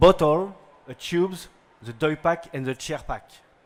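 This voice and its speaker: With a French accent, a man speaks at a high pitch with ordinary pitch variation. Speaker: company owner and CEO. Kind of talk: product pitch. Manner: halting.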